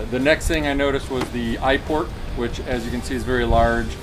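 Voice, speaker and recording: Speech at a moderate pace plays with clear music in the background. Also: man. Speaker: motorcycle gear reviewer. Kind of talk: product review talk. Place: garden. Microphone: camera far.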